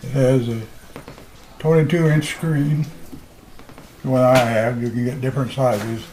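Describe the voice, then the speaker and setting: Through noticeable background noise, a man talks with fairly even intonation and long, frequent pauses. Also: medium pitch for a man, moderate pace. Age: 80s+. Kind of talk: interview answer. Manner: hesitant, conversational.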